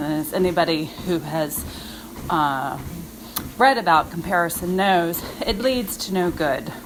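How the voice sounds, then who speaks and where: Noticeable background noise sits behind speech whose pitch varies in an ordinary way. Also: woman. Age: 50s. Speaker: fitness coach. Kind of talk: motivational monologue. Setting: outdoors on a walk. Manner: casual, conversational.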